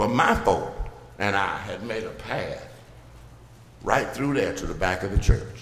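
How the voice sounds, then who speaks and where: A man talks at a fairly slow pace, leaving long, frequent pauses. Audible echo from the room surrounds his voice. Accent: Alabama. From US South, Birmingham, Alabama. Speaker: pastor. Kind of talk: sermon. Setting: church.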